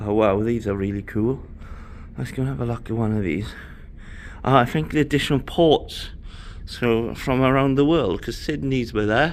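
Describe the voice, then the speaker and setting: A man with a Welsh accent speaks at a medium pitch with lively intonation. He leaves long, frequent pauses. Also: moderate pace. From Wales. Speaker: travel vlogger. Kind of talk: ship tour vlog. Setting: walking around a cruise ship. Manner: casual, chatty.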